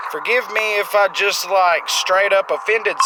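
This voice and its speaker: A man speaks at a moderate pace with a high pitch. Noticeable background noise can be heard. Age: 30s. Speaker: gaming youtuber. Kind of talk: gameplay commentary. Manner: casual, rambling.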